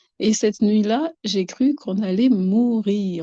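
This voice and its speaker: The voice has a dark, mellow tone and is somewhat breathy, with ordinary pitch variation in a dry, close sound with no echo. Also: woman. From Madagascar. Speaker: guest describing harassment experiences. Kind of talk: testimony. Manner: halting, many repetitions.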